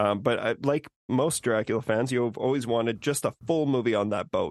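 Against a quiet background, a man with a plain, everyday voice speaks at a moderate pace with fairly even intonation, in a dry, close sound with no echo. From Saskatchewan, Canada. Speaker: podcaster, guest. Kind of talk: casual chat.

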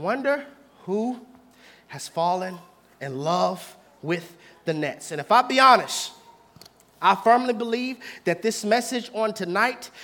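The tone is animated, at a fairly slow pace with long, frequent pauses. Background noise is noticeable. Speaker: preacher. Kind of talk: sermon. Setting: church with live congregation. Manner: animated, call-and-response.

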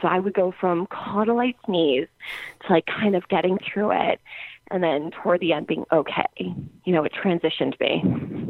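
Speaking in a normal speaking voice with an American accent, a woman keeps a medium pitch, a moderate pace and fairly even intonation. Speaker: podcast guest, music fan. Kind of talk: casual interview. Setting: remote call.

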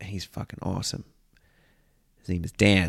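A man at a moderate pace. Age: 30s. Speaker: comedian. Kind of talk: casual monologue.

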